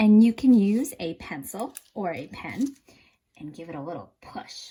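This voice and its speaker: With a dark, mellow tone, a woman talks at a fairly slow pace, somewhat breathy, and her intonation is lively. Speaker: art teacher. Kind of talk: tutorial. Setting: home kitchen. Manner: animated.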